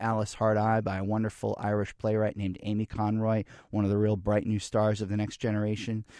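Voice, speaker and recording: A man speaks in a normal speaking voice with a fairly low pitch. The sound is dry and close, with no echo. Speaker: arts center director. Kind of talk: radio interview. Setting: studio.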